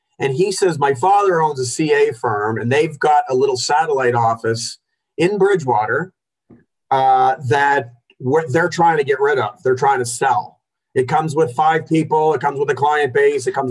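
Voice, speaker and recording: The speaker is somewhat breathy, keeps a moderate pace, and shows ordinary pitch variation. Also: man, fairly high pitch for a man. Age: 40s. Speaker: accountant, firm owner. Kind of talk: interview. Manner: animated.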